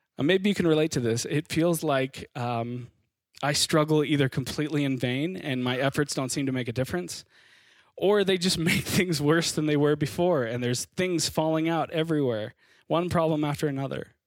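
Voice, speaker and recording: In a very clean recording with a silent background, an unremarkable speaking voice with an American accent moves at a fairly quick pace with ordinary pitch variation. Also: man, fairly high pitch for a man. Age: 30s. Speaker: pastor. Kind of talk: sermon.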